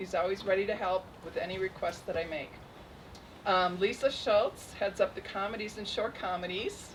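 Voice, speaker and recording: Noticeable background noise is present throughout. A woman talks over it. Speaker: festival program director. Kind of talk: award ceremony speech. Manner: shaky.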